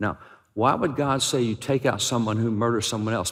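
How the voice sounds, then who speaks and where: Speaking at a fairly quick pace, a man with an unremarkable speaking voice shows ordinary pitch variation. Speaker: preacher. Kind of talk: sermon.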